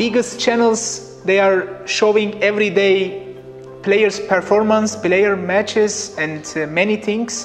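A man's high-pitched voice at a very slow pace, with fairly even intonation and faint music in the background. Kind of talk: interview answer. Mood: relaxed, smiling. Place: studio. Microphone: lapel.

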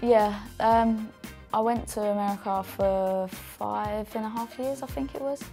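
A woman speaks with faint music in the background. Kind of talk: interview answer. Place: meeting room. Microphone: lapel.

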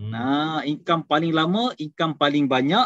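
With an unremarkable speaking voice, a man of fairly high pitch talks at a moderate pace with ordinary pitch variation, in a dry sound with no echo against a quiet background. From Kedah, Malaysia. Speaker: takaful agency director; presenter. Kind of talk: business talk. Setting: video call. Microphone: video call.

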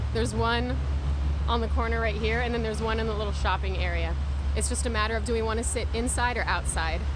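A woman speaks at a very fast pace, the sound dry with no echo but with noticeable background noise. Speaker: live streamer vlogger. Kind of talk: casual chat. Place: street. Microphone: phone near.

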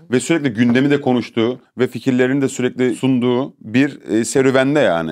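An ordinary speaking voice moves at a fairly quick pace with hardly any pauses, very even loudness and ordinary pitch variation over a quiet background. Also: man, medium pitch for a man. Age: young. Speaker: streamer. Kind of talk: casual chat. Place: studio.

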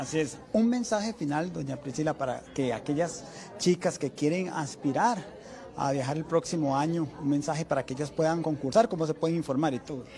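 A man with a Costa Rican accent speaks at a fairly quick pace in a fairly high pitch with ordinary pitch variation, over light background noise. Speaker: TV news reporter. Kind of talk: news interview. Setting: on location at a hotel. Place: hall. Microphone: handheld.

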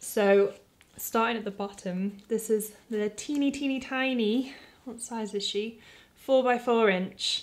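Fairly high-pitched woman's voice in a British accent, fairly slow, with fairly even intonation. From UK. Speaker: artist and video creator; video creator. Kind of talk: product review tutorial. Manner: casual, conversational. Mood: warm, light-hearted. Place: home room.

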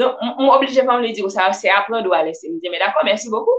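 A woman is talking here. She uses lively intonation. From Haiti. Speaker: personal development vlogger. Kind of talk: live-stream talk. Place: home room. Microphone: webcam.

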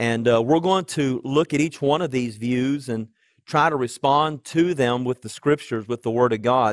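Against a quiet background, the speaker keeps a moderate pace and ordinary pitch variation, with a dry sound and no echo. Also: man. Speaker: pastor. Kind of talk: sermon. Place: church. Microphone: headset.

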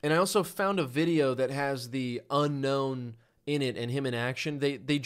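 Natural-voiced reading aloud

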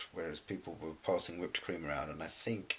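A man talks with vocal fry and ordinary pitch variation. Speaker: collab channel vlogger. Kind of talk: casual vlog chat. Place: home room. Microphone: webcam.

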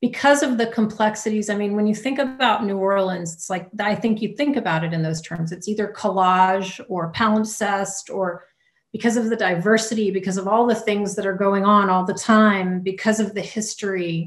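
A woman with an American accent, medium pitch, fairly even intonation and a somewhat breathy sound, at a moderate pace with hardly any pauses, against a quiet background. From US South, Louisiana. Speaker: poet. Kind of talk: audience Q&A. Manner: halting. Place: home room. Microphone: video call.

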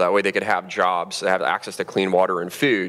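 A man is speaking here. His pitch is very deep and low, with monotone, flat intonation. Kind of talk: public talk. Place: stage. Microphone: headset.

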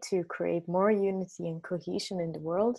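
A woman's dark, mellow tone at a fairly slow pace over a quiet background. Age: young. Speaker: interviewer. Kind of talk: interview. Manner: hesitant, repeats words. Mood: reflective, hopeful. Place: home room. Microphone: earbuds.

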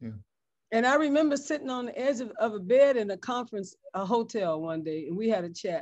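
A woman with an American accent speaks at a fairly quick pace. Her pitch swings very widely, over a quiet background. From San Francisco, US West Coast; California. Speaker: bishop and pastor; bishop, pastor. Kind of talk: interview conversation. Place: home room. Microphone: webcam.

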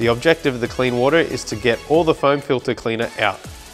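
Over faint background music, a man talks at a fairly quick pace with ordinary pitch variation. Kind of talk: tutorial. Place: workshop.

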